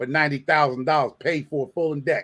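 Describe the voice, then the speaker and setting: This man has an American accent and a fairly high pitch. His tone comes across bright and sharp. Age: 50s. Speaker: livestream host. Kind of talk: casual chat. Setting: livestream. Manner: animated.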